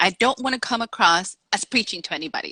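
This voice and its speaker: A woman with a Dominican accent speaks at a fairly high pitch in a bright, sharp tone. The sound is dry and close, with no echo. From Dominican Republic, raised in Salem, Massachusetts. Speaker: author. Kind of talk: interview.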